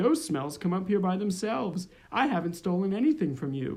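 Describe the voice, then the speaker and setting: A man puts on a character voice at a high pitch. He moves at a fairly quick pace with very wide pitch swings. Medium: read story.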